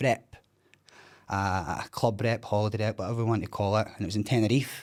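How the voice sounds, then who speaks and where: A man with a Scottish accent speaks at a medium pitch and a fairly quick pace in a very clean recording with a silent background. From Scotland, East Kilbride. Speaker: recovering addict sharing his story. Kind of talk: podcast interview, personal testimony. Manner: loud; animated.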